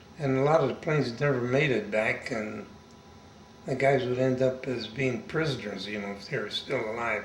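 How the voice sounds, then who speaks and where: This man talks at a moderate pace and a medium pitch, with ordinary pitch variation. Noticeable background noise and audible room echo surround his voice. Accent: American. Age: 80s+. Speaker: war veteran. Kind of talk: oral history interview. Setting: interviewee's home.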